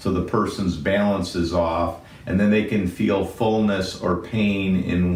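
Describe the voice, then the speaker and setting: A man's fairly slow, fairly even speech amid noticeable background noise and audible room echo. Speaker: physician. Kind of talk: medical explainer. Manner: loud.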